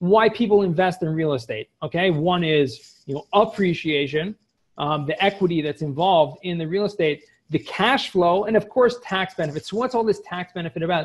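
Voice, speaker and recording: The man's intonation is lively as he talks. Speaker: cost segregation specialist. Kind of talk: webinar presentation. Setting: video call. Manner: fast talker. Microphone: video call.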